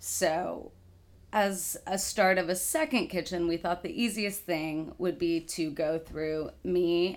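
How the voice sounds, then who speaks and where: A woman speaks in a normal speaking voice with a fairly low pitch. Her pitch variation is ordinary, on a very clean recording with a silent background. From Texas, Dallas. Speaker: kitchen manager. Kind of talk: casual interview.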